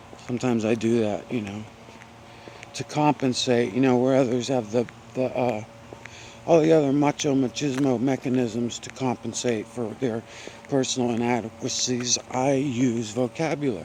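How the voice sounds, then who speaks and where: Mumbling, a man speaks at a moderate pace and a medium pitch. His intonation stays fairly even, and there is noticeable background noise. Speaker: vlogger hiking outdoors. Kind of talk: casual vlog monologue while walking. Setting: outdoors on a forest trail. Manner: rambling with many fillers.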